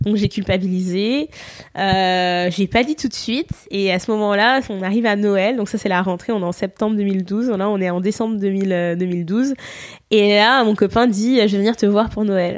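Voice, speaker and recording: With a normal speaking voice, a woman talks at a moderate pace and a medium pitch, her intonation fairly even. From France. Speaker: podcast guest. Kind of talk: casual chat.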